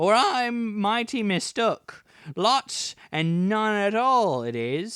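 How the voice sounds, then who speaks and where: A man's put-on character voice, high-pitched and very slow, on a very clean recording with a silent background. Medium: read story.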